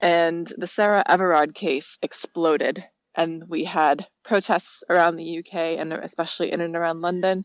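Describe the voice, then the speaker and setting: A woman with an American accent and monotone, flat intonation. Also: dry, close sound with no echo. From United States. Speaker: listener leaving voicemail. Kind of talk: voicemail message. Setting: phone voicemail.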